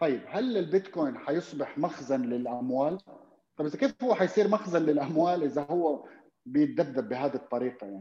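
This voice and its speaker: A man with a dark, mellow tone and fairly high pitch speaks at a moderate pace with lively intonation. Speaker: investor. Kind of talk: casual interview chat.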